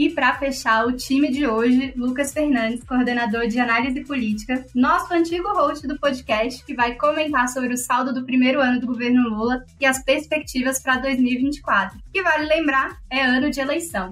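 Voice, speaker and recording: Over noticeable background noise, a woman speaks at a high pitch with ordinary pitch variation. Her pace is moderate, with hardly any pauses. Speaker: podcast host, legislative analyst. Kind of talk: podcast hosting.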